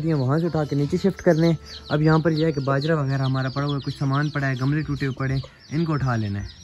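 Faint background noise sits under fast speech with fairly even intonation and a slightly mellow tone. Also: man.

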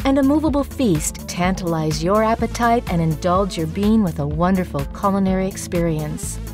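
A woman speaks at a moderate pace. Music can be heard behind her. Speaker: voice actor. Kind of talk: promotional video voiceover, corporate narration.

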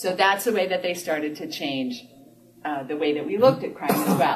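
Light noise sits in the background as a woman talks. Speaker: lecturer or speaker. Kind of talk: lecture. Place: meeting room. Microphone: camera far.

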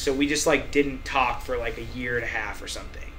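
In an ordinary speaking voice, a man talks at a fairly quick pace with ordinary pitch variation over light background noise. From US Midwest. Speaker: musician; guest. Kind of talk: casual chat. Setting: studio. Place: office.

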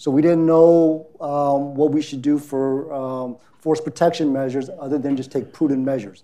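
A man speaks at a moderate pace with a dark, mellow tone. His pitch is fairly high and his intonation fairly even. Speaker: retired army officer. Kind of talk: panel presentation.

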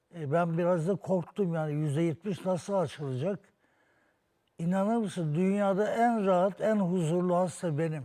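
A man speaks at a high pitch in a dark, mellow tone, with ordinary pitch variation. His pace is moderate and his loudness stays very even. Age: 70s. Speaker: patient, interior architect and painter. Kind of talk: testimony. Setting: TV studio.

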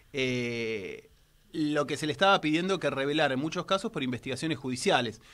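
An ordinary speaking voice moves at a fairly quick pace with lively intonation. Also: man, fairly high pitch for a man. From Argentina. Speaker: technology journalist and radio columnist; technology journalist, radio columnist. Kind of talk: radio column, casual studio chat. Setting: radio studio. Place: studio. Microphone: studio mic.

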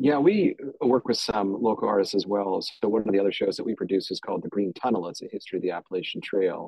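The speech comes at a very fast pace with hardly any pauses, recorded dry with no echo over a quiet background. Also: man. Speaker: historian and podcast producer. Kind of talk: panel discussion. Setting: video call. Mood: wry, animated. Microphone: video call.

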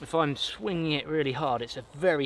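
With light background noise and a dry sound without echo, a man speaks with ordinary pitch variation. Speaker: bushcraft vlogger. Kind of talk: tutorial. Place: forest.

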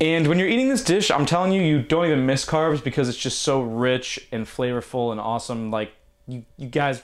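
A man at a fairly quick pace, ordinary pitch variation, quiet background. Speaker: cooking channel host. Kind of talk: cooking tutorial intro. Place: kitchen.

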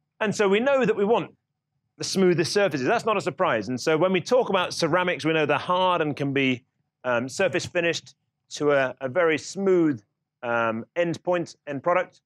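This man's voice is high, at a moderate pace. The sound is dry with no echo, and the background is quiet. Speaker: lecturer. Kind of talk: lecture. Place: classroom.

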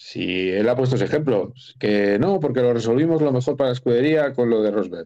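Over a quiet background, a man with a dark, mellow tone talks at a fairly quick pace. His intonation is lively. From Spain. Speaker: guest sports journalist. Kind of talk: casual chat. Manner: animated. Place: home room. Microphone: video call.

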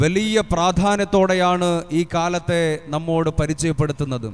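A man is speaking. His pitch is high for a man. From Kerala, India. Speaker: Islamic preacher. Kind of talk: sermon. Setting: madrasa gathering with audience. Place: stage. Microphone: handheld.

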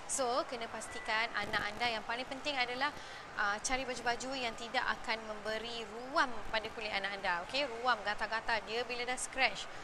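A woman speaks at a moderate pace and a fairly high pitch, with fairly even intonation. The room echoes audibly, and background noise is noticeable. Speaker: parenting show host. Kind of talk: live-stream talk. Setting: gym during children's classes. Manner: hesitant, many fillers.

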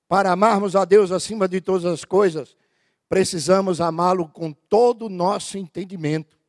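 Against a quiet background, a man talks in a high pitch with fairly even intonation. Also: moderate pace. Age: 50s. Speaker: pastor. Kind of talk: sermon. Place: church. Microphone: handheld.

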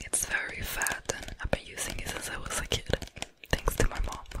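A soft-spoken woman whispering at a moderate pace. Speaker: ASMR creator. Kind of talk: soft ASMR product chat. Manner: soft intimate whisper. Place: home room. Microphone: studio mic.

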